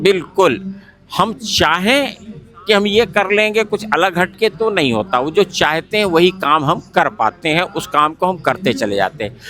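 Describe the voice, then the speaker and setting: Noticeable background noise sits behind this recording. A man speaks in a raised, projected voice with a high pitch. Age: 70s. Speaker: spiritual organization coordinator, ex-air force. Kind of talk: interview, personal testimony. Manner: repetitive, earnest.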